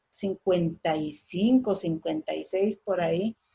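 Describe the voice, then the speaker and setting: A woman with a Guatemalan accent speaks very slowly in a somewhat breathy voice with ordinary pitch variation. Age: 60s. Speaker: daughter of a railway union leader, conference speaker. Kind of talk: oral history testimony. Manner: halting, repetitive.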